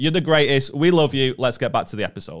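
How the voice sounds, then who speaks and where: This man speaks in a northern English accent. He goes at a very fast pace. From northern England. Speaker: comedian. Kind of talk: casual chat. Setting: studio.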